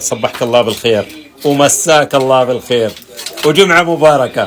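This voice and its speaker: Moderate speed from a man, pitch shifting in an ordinary way, noticeable noise behind. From Saudi Arabia. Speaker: artist. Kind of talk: casual interview.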